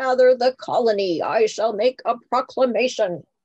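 This female-sounding voice is a put-on character voice, high in pitch. It moves at a moderate pace. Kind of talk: formal proclamation. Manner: heroic, regal.

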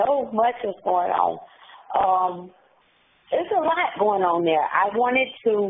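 A woman with an American accent speaks at a fairly slow pace with long, frequent pauses, her fairly high pitch swinging very widely while her loudness stays very even over noticeable background noise. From US South, Charlotte, North Carolina. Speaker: incarcerated woman telling her story. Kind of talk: interview. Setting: phone call from prison. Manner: halting.

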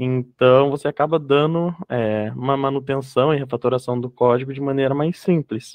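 A man speaks at a moderate pace with fairly even intonation. The background is quiet and the sound dry with no echo. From interior São Paulo, Brazil (Ourinhos). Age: 20s. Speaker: software developer. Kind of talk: presentation. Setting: video call webinar. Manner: halting, many fillers. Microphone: video call.

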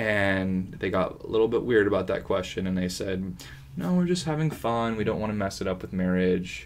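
A man mumbles quietly with an American accent at a moderate pace. His pitch is fairly low, and his intonation is lively. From California (San Diego). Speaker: actor. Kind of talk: casual chat. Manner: quiet talker, mumbler.

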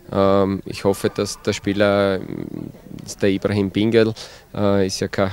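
Recorded with a dry sound and no echo, a man with a fairly low pitch speaks at a fairly slow pace. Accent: Styrian. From Styria, Austria. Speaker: football coach. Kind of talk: interview. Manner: hesitant with many fillers. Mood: calm, positive. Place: open country. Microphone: handheld.

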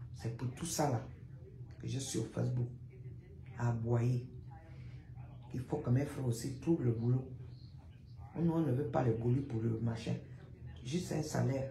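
Recorded with light background noise and audible room echo, a woman talks at a fairly slow pace with long, frequent pauses. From Gabon. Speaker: social media commentator. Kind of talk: live stream monologue. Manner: animated. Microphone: phone near.

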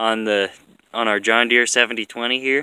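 Recorded dry with no echo, a man talks at a fairly quick pace in a bright, sharp tone with fairly even intonation. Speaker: farm vlogger doing repairs. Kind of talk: tutorial. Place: farm machine.

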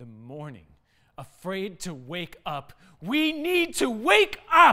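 A man uses a raised, projected voice at a very slow pace, with big swings in loudness. His pitch makes very wide swings against a quiet background. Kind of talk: dramatic spoken-word poetry. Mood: urgent, earnest. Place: studio.

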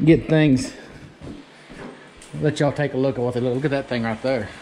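With a dark, mellow tone, a man speaks at medium pitch with ordinary pitch variation.

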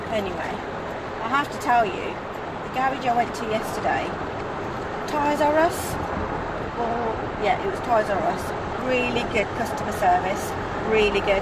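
Loud background noise sits under a woman speaking with ordinary pitch variation. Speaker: vlogger. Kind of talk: casual vlog chat. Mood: indignant, chatty. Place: car. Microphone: phone near.

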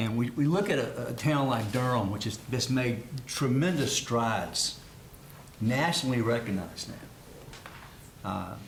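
Speech moves at a moderate pace with long, frequent pauses. Noticeable background noise and audible room echo surround it. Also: man, medium pitch for a man, ordinary pitch variation. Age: 60s. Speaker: city council member. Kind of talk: public meeting remarks. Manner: halting, many fillers and repetitions.

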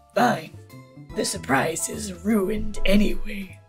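A put-on character voice at middle pitch and a fairly slow pace, with faint music in the background. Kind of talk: game character voice acting. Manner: aloof, curt, dismissive.

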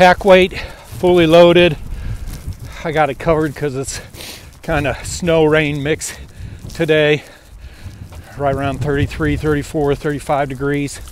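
Amid noticeable background noise, a man with a fairly high pitch speaks at a very slow pace with fairly even intonation and long, frequent pauses. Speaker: hiking vlogger. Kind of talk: vlog monologue. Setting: outdoors.

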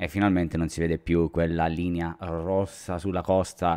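A man with a Calabrian accent speaks in a very deep, low voice with a dark, mellow tone. His intonation stays fairly even against a quiet background. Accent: Calabrian accent, similar to Messina. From Reggio Calabria, southern Italy; southern Italy. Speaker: drone youtuber; tech youtuber. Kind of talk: live stream chat. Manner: casual, many fillers. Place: home room. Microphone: studio mic.

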